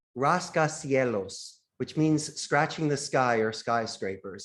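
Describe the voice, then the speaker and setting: On a very clean recording with a silent background, a man speaks with a Philadelphia accent. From US, Philadelphia. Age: 50s. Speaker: call center CEO. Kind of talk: podcast interview.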